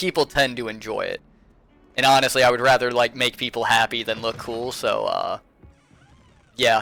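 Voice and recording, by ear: A man speaks over music playing in the background. His intonation is flat and monotone.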